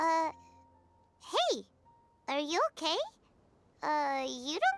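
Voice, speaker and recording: A squeaky, high-pitched put-on character voice drags along at a very slow pace with music in the background. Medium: video game. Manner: chatty, energetic.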